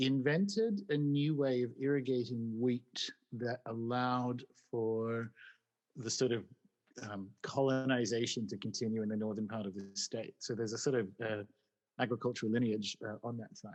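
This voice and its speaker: The pitch of this man's voice is medium. He talks with an Australian accent. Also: ordinary pitch variation, moderate pace. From Newcastle, New South Wales, Australia. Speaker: magic blogger and podcaster. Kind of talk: casual chat.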